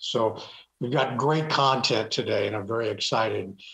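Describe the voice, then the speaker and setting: The pace is moderate as a man speaks with hardly any background sound. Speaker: webinar host. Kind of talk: event introduction. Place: home room. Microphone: webcam.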